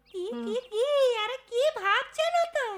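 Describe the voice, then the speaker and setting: A squeaky, cartoonish character voice from a woman, extremely high in pitch, with lively intonation at a moderate pace. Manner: coaxing, falsely polite.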